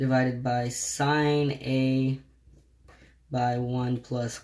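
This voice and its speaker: The pace is very slow. The intonation stays monotone and flat. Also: man. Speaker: math tutor. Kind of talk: tutorial.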